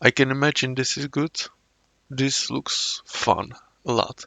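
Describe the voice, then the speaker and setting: The speaker has a Czech accent. The pace is very slow. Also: man. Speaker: YouTube reactor. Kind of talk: casual commentary. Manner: halting.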